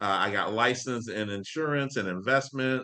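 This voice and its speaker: A man speaks in a bright, sharp, animated tone with ordinary pitch variation. The background is quiet. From Florida (Ocala, Tampa). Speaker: financial coach. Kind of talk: live online class. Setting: video livestream. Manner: animated, casual.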